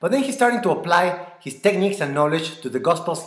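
A high-pitched man speaks with a Mexican accent and very wide pitch swings. The background is quiet, though audible room echo can be heard. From Mexico. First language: Spanish. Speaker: church member. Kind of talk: apologetics talk. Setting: recorded video. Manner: earnest. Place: home room. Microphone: webcam.

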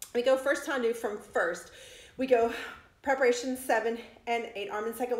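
A woman speaks at a fairly slow pace with fairly even intonation. Room echo can be heard. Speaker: dance fitness instructor. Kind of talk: exercise class instruction. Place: home room. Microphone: phone near.

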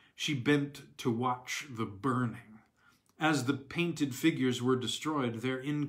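What you hear here is plain reading aloud.

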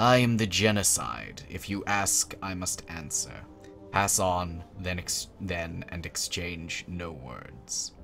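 The voice rumbles at a very slow pace. Clear music plays in the background. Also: man. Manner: grim, bitter.

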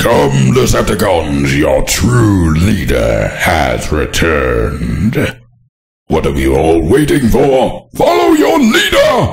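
In a put-on character voice, a man speaks at a very slow pace, raspy and very deep, low in pitch. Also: very even loudness. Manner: commanding, manic, ranting.

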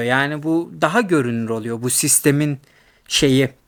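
A man with a fairly high voice speaks at a fairly slow pace on a very clean recording with a silent background. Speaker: YouTuber in academia. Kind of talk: casual monologue. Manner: hesitant, many fillers; laughs often.

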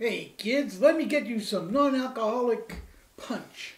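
A woman's put-on character voice, high-pitched and fairly slow, with audible echo. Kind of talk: comedic banter, putting on a dad voice. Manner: cheesy, overly cheerful.

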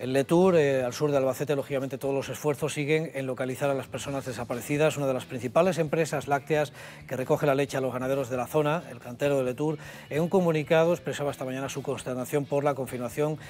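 Light background noise is audible behind a man. He speaks at a very fast pace with fairly even intonation. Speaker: news presenter. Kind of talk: news presentation. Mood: sober, serious. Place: studio. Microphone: lapel.

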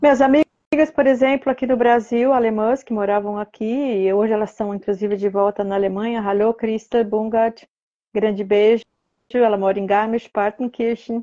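A woman's dark, mellow, calm tone at a moderate pace, with fairly even intonation over a quiet background. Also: fairly high pitch for a woman. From Brazil, São Paulo state (Ribeirão Preto region); São Paulo state, Brazil. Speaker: fluent German learner, host's mother; host's mother. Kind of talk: live stream chat. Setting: Instagram live. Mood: warm, encouraging. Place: home room. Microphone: earbuds.

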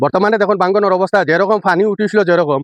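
Quiet surroundings and a male speaker. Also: dry, close sound with no echo. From Silchar, Assam (Barak Valley). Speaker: local video blogger. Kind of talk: on-location vlog address. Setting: outdoors at riverbank embankment. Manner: halting.

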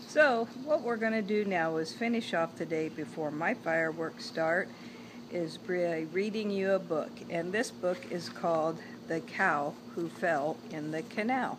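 A woman's fairly low, animated and warm voice with lively intonation over noticeable background noise. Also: fairly slow pace. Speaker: grandmother reading to grandchild. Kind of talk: bedtime story reading aloud to a grandchild, with asides about the pictures. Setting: home video, holding up the book to the camera. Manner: warm, gentle, chatty storyteller pace with playful asides; animated, addresses the child directly. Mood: warm, gentle. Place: garden. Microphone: phone near.

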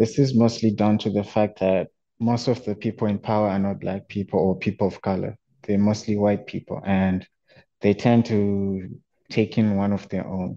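A man speaks with a dark, mellow tone and fairly low pitch. His intonation is monotone and flat, at a moderate pace. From Zimbabwe. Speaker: student and youth researcher; panelist. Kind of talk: research presentation. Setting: online webinar, video call. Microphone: video call.

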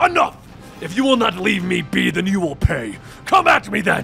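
A man bellows in a put-on character voice, raised and projected. He keeps a moderate pace over clear background music. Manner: bellowing.

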